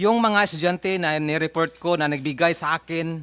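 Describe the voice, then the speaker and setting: On a very clean recording with a silent background, a bright, sharp tone comes through at a fairly slow pace with fairly even intonation, the sound dry and close with no echo. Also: man. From Mindanao, Agusan del Sur. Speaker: parent of missing student. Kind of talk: testimony at hearing. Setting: senate hearing. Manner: reading prepared statement.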